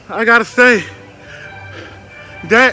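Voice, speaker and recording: Faint music plays in the background as a man speaks in a raised, projected voice, the sound dry with no echo. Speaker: theme park vlogger. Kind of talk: casual vlog chat. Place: street. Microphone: phone near.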